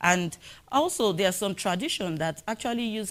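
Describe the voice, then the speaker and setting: Speaking at a moderate pace with lively intonation, a woman with a Nigerian accent has a medium pitch, and the recording is very clean with a silent background. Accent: Nigerian (Yoruba) English. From Nigeria, southwest (Yoruba). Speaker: animal welfare researcher. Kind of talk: conference presentation. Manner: halting, with frequent fillers.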